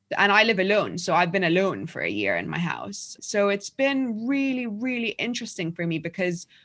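A woman with a London accent talks at a moderate pace and a medium pitch. Her intonation is lively, and the background is quiet. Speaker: journalist and author. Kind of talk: casual interview.

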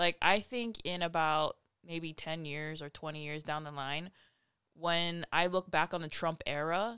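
In a very clean recording with a silent background, a woman uses a normal speaking voice, fairly low in pitch, at a fairly slow pace with fairly even intonation. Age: 20s. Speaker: conservative podcast host. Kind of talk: casual chat.

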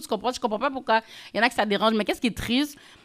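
The tone is bright and sharp. The voice is raised and projected. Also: woman. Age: young. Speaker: influencer and podcaster. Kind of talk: casual interview.

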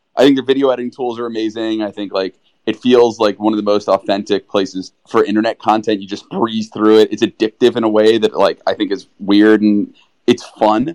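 A man talks at a fairly quick pace in an enthusiastic tone, his pitch medium. The sound is dry and close with no echo. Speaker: tech entrepreneur. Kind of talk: casual chat.

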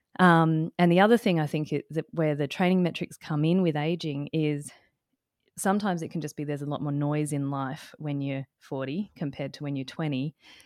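A woman with an Australian accent speaks in a very deep, low voice with ordinary pitch variation, recorded very cleanly against a silent background with a dry, close sound and no echo. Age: 40s. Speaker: climbing dietitian and co-host. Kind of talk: casual chat.

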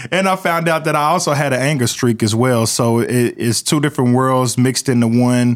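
At a moderate pace, the speaker talks with an American accent on a very clean recording with a silent background. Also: man. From Oklahoma, Midwest City. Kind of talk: interview testimony. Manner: many fillers and hesitations.

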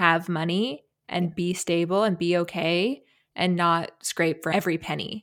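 An ordinary speaking voice with fairly even intonation on a very clean recording with a silent background. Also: woman. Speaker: podcast host. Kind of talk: casual interview chat.

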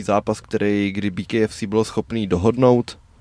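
A man with a fairly low pitch. He has an ordinary speaking voice. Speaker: MMA podcast co-host. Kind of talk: casual chat.

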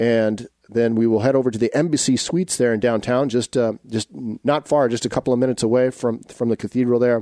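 A man speaks at a fairly quick pace with hardly any pauses, his medium-pitched voice dark and mellow in tone. The sound is dry and close with no echo, and his intonation stays fairly even. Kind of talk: radio show hosting, conversational. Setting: radio studio. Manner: warm, measured, formal.

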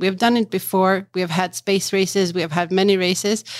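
A woman speaks with a Swedish accent. The recording is very clean, with a silent background. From Sweden, Stockholm. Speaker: marketing executive in geothermal finance. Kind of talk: interview conversation. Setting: conference venue.

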